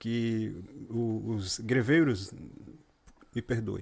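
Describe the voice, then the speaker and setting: A man with a medium pitch talks very slowly. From Rio Grande do Norte, Brazil. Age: 40s. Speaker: cycling sales representative. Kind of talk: casual chat.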